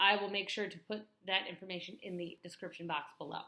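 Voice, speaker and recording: Delivery moves at a fairly quick clip. An American accent comes through. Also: woman. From US Midwest, northwest Illinois. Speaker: vlogger. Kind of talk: vlog talk to camera. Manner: fast.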